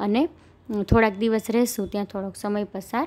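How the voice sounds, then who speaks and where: A woman is speaking. The tone of her voice is dark and mellow. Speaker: English teacher. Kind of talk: lecture.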